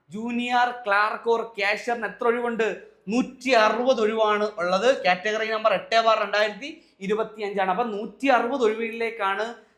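A man's high-pitched voice in a monotone, flat intonation. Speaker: exam coaching teacher. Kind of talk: tutorial. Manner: repetitive.

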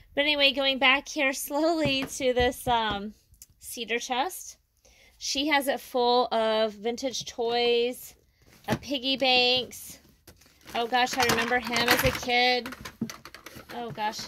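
Amid light background noise, a woman with a high pitch speaks at a very slow pace, taking long, frequent pauses, her intonation fairly even. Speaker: reseller touring a booth. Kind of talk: casual vlog chat. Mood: warm, nostalgic. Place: shop. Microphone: phone near.

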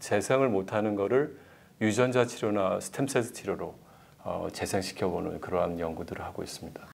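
A man keeps a moderate pace, breaking his speech with long, frequent pauses. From South Korea. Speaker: medical researcher, professor; professor. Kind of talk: interview. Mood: calm, explanatory. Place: studio. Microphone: lapel.

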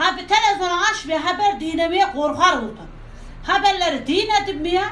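In a room with audible echo and light background noise, a woman speaks at a moderate pace with an extremely high pitch. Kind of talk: casual emotional monologue to camera. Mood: worried, frightened about virus. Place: shop. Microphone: phone near.

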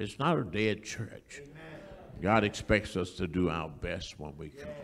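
Over light background noise, a man with a very deep, low pitch speaks with lively intonation. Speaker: church elder, announcer; announcer. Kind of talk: church announcements and remarks. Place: church. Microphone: handheld.

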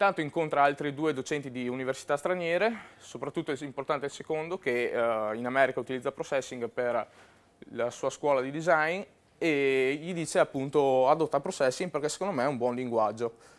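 A man with a fairly high pitch, fairly quick pace and ordinary pitch variation. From Verona, northern Italy; northern Italy. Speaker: web and mobile programmer, conference speaker; conference speaker. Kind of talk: conference talk. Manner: hesitant, with fillers. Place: hall. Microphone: lapel.

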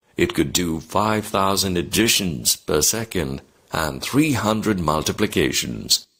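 A man with a very deep, low pitch and vocal fry speaks at a very slow pace in a bright, sharp tone, his pitch swinging very widely. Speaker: teacher. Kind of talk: reading aloud.

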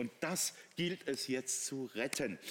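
A man's animated voice, laced with vocal fry. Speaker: technology product expert. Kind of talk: teleshopping product demonstration.

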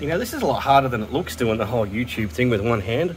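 Over noticeable background noise, a man at medium pitch talks at a very fast pace with lively intonation. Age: 40s. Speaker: car repair youtuber. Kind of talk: tutorial. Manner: casual, halting.

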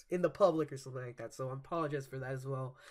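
The man's voice carries a bright, sharp tone. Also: quiet background. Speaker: reaction channel host. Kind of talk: casual vlog chat. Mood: cheerful, laughing often. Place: home room. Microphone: webcam.

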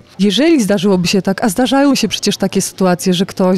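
The speech comes very fast, with ordinary pitch variation. Noticeable background noise runs underneath. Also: woman. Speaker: lawyer. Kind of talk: interview. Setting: outdoor business forum. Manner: explanatory.

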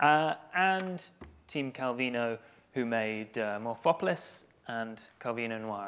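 Lively intonation carries this man's speech at a very slow pace. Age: 20s. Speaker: community manager; conference speaker. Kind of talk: conference talk. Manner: halting. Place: stage.

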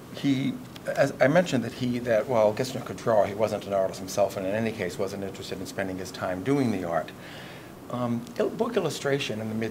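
Noticeable background noise surrounds the recording. A man speaks at a fairly quick pace with ordinary pitch variation. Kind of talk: interview answer. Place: hall.

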